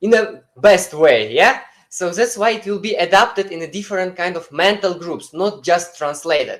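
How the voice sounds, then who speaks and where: The speaker has a non-native accent and talks at a moderate pace. There are hardly any pauses. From Uzbekistan. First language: not English. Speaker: webinar presenter. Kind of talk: webinar presentation. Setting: online webinar streamed live. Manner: halting, many fillers.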